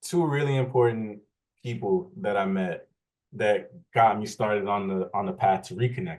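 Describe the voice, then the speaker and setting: In a New Orleans accent, a man speaks at a medium pitch and a moderate pace with lively intonation. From New Orleans, seventh ward. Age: 30s. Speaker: interviewee. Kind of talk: casual interview. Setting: video call.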